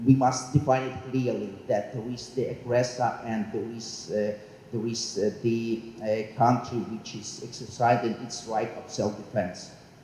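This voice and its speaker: A man's medium-pitched voice at a fairly slow pace, with fairly even intonation and big swings in loudness, amid audible room echo and noticeable background noise. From Ukraine. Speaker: diplomat. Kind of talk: forum comment. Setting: public forum. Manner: halting.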